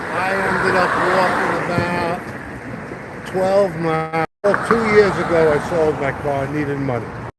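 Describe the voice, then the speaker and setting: A high-pitched man with a New York accent at a fairly slow pace, ordinary pitch variation, audible room echo and noticeable background noise. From New York, Brooklyn. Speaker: passerby interviewed on the street. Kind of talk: casual chat.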